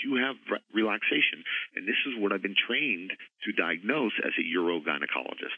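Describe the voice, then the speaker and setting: A man talks at a fairly quick pace. He has a normal speaking voice with ordinary pitch variation. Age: 40s. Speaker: gynecologist. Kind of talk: interview.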